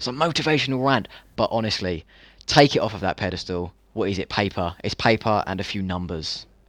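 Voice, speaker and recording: A man's fairly low voice at a fairly quick pace. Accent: British. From UK. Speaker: dropshipping entrepreneur. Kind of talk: casual chat.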